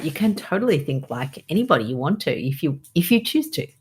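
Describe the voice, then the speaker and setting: Over a very clean recording with a silent background, a woman speaks at a moderate pace. Her voice is fairly low and somewhat breathy, with lively intonation. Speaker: doctor, podcast host. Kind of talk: podcast conversation.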